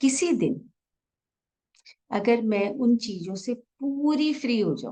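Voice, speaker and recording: High in pitch, a woman's voice sounds soothing, dark and mellow, with lively intonation. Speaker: meditation guide. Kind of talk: guided meditation. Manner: slow, soothing.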